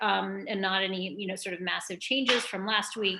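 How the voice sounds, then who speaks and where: A woman speaks at a medium pitch and a moderate pace, with noticeable background noise. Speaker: medical school admissions advisor. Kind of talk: live Q&A session. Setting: live stream. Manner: hesitant, many fillers.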